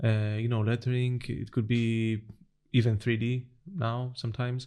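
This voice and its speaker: A man with a Greek accent, medium pitch and a dark, mellow tone, at a moderate pace with fairly even intonation against a quiet background. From Greece, island of Corfu. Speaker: designer. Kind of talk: casual chat. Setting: in person. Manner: hesitant, many fillers.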